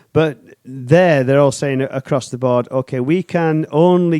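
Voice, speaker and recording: A man's fairly high, dark, mellow voice at a fairly slow pace, with ordinary pitch variation and a dry, close sound free of echo. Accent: British. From United Kingdom. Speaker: podcast co-host. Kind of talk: casual chat. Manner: animated.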